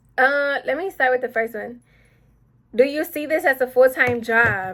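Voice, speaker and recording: With an American accent, a woman speaks at a moderate pace in a bright, sharp tone, her pitch varying in an ordinary way. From Texas, Houston. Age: 19. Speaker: beauty vlogger. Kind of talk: casual chat.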